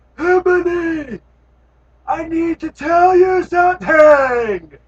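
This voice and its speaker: A squeaky, put-on character voice with an extremely high pitch speaks at a very slow pace. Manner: very serious.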